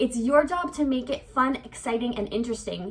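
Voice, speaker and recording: A woman speaks at a fairly quick pace in a high voice with lively intonation, over noticeable background noise. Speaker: English teacher and vlogger. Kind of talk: vlog tutorial. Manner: fast.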